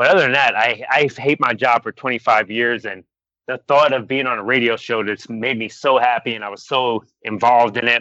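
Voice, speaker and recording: A man with an American accent, a plain, everyday voice, fairly even intonation and a moderate pace. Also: medium pitch for a man. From Florida. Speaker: comedy podcaster.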